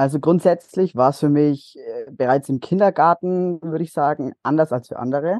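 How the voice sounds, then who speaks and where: A man speaks in a normal speaking voice, fairly high in pitch, with lively intonation at a moderate pace. The sound is dry and close with no echo over a quiet background. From Bavaria, Nuremberg (Franconia). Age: young. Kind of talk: interview testimony.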